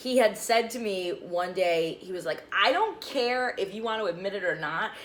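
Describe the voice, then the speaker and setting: A woman's animated tone at a moderate pace, with noticeable background noise. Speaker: TV news anchor and meteorologist. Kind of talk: casual chat. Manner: loud.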